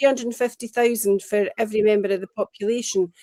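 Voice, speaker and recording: Recorded with a dry, close sound and no echo, a woman speaks at a fairly high pitch with a dark, mellow tone. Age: 60s. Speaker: pro-independence party member. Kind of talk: political discussion show interview.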